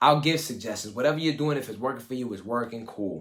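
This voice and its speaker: Speaking at a very fast pace, a man sounds animated, with ordinary pitch variation. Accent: New York. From US Northeast, Brooklyn, East New York. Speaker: life coach. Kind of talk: live coaching session talk. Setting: live video call. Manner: casual, animated.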